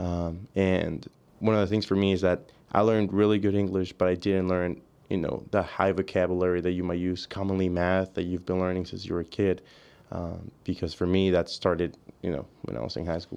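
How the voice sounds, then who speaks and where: With a Spanish accent, a man speaks at a fairly quick pace in a very deep, low pitch and fairly even intonation against a quiet background. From Mexico, near the border; South Texas. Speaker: college student, diver. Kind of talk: casual chat. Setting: studio.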